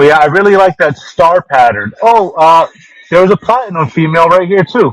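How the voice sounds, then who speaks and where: Loud and lively in intonation, a man talks at a moderate pace, with a dry, close sound and no echo. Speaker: fish seller. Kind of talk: live sales stream. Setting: home fish room. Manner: casual.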